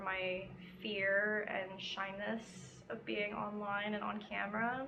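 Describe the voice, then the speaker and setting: A woman of medium pitch is heard with noticeable background noise and audible room echo. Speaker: crochet vlogger. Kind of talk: casual chat. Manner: casual, filler-heavy.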